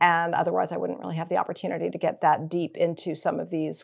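The recording is very clean, and the background is silent. Here a woman talks very fast. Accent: American. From Massachusetts (Newton). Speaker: finance executive. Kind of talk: interview.

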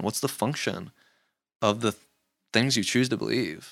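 In a very clean recording with a silent background, a man talks at a moderate pace with vocal fry and ordinary pitch variation. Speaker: podcast host. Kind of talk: casual chat.

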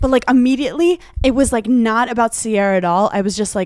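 A woman talks at a fairly quick pace with ordinary pitch variation, her voice sounding dry and close with no echo. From Brooklyn, New York. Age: 20s. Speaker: reality TV star and podcaster. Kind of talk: casual chat. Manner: rambling, giggly.

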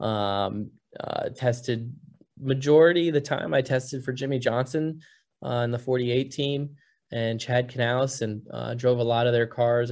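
With an American accent and a normal speaking voice, a man talks at a fairly slow pace, medium in pitch with fairly even intonation, over a quiet background. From Cedar Rapids, Iowa. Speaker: racing driver. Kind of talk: interview conversation.

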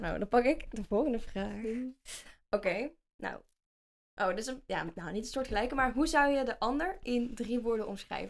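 This woman talks at a moderate pace with lively intonation. Her pitch sits fairly high. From Netherlands, North Brabant (Vinkel near Den Bosch). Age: 20s. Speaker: podcast co-host, social media agency owner. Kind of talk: casual chat.

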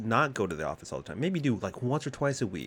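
Vocal fry runs through a man's animated tone. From Texas. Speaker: podcast host. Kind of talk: casual chat, podcast recording. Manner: fast talker, rambling; animated, laughs often.

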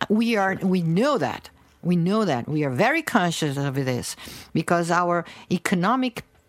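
A woman speaks with a Portuguese accent at a fairly low pitch. Her intonation is lively and her pace moderate. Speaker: researcher. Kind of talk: interview. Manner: animated.

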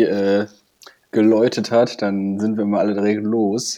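A man talks at a fairly slow pace with a fairly low pitch. His tone is dark and mellow, and his intonation stays fairly even. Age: 20s. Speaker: podcast co-host, parliamentary staffer. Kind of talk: casual chat. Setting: at home in front of PC.

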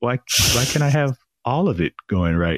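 A man's voice with vocal fry and very wide pitch swings, in a dry, close sound with no echo. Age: 30s. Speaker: podcast host appearing as guest. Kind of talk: casual interview chat.

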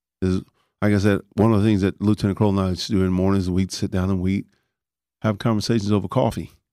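In a very clean recording with a silent background, a man with a Texan accent speaks very fast in a fairly low, dark, mellow voice with monotone, flat intonation and a dry, close sound with no echo. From Texas Panhandle, raised in Dallas (Oak Cliff). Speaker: retired firefighter and paramedic. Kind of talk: interview.

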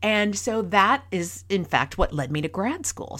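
Very wide pitch swings and vocal fry on a very clean recording with a silent background. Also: woman. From rural Minnesota. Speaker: podcast host, workplace communication consultant. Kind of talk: solo podcast talk, storytelling and advice.

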